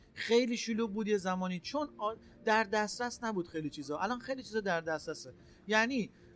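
Talking at a very fast pace, a man uses lively intonation and a high pitch. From Iran, Gilan (Rasht). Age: 40s. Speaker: entrepreneur. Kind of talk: interview. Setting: trade fair booth.

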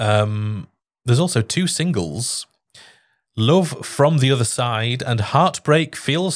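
A man's voice makes very wide pitch swings on a very clean recording with a silent background. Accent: northern English. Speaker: podcast host and lorry driver. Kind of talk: casual chat. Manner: jokey.

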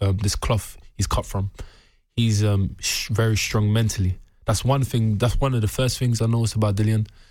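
A man with a London accent, fairly low-pitched and somewhat breathy, with monotone, flat intonation and very even loudness at a moderate pace, in a very clean recording with a silent background. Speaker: professional boxer. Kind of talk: interview.

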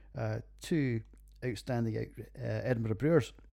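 In a Scottish accent, a man speaks at a moderate pace and medium pitch, with a dark, mellow tone. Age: 40s. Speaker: podcast host, beer reviewer, military veteran. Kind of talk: casual monologue.

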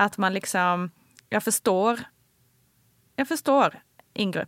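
Dry, close sound without any echo, on a very clean recording against total background silence. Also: woman. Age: 40s. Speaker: journalist and podcast co-host. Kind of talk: casual chat.

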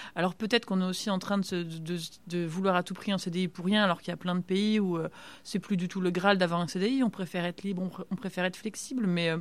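A woman talks very fast while her intonation stays fairly even. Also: medium pitch for a woman. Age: 30s. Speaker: medical resident and stem cell researcher. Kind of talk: casual interview.

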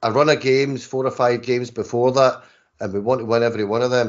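With a plain, everyday voice, a man speaks at a medium pitch and a moderate pace. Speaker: football fan panelist.

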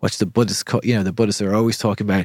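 On a very clean recording with a silent background, a man with a Dublin accent speaks in a calm tone and fairly low voice, with ordinary pitch variation and a dry, close sound with no echo. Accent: Irish (Dublin). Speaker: breathwork instructor. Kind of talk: casual chat.

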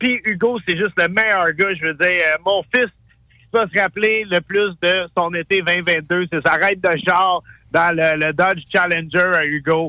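A man speaks fairly slowly in a high, bright, sharp voice, his loudness very even and his intonation fairly even, with a dry, close sound and no echo. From Montreal. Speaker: chef and TV host. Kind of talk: casual chat.

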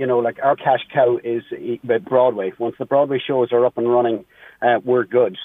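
At a fairly quick pace, a man with an American accent speaks at a medium pitch in a monotone, flat intonation. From Ireland (County Meath). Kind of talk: radio interview. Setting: phone call.

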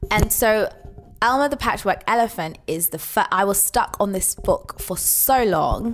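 A woman with a London accent, fairly high in pitch, with lively intonation at a fairly slow pace, over noticeable background noise. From England. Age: 20s. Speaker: podcast co-host. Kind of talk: casual chat.

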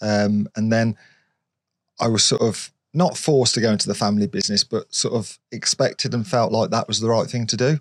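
Someone speaks at a fairly quick pace in a British accent, captured in a very clean recording with a silent background and a dry, close sound with no echo. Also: man. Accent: British regional, local to the area. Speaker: YouTuber and car stunt driver. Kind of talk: casual interview chat.

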